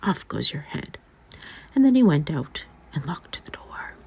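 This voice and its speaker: Whispered speech from a man, moderately paced, against noticeable background noise. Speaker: ASMR artist. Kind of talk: sleep story.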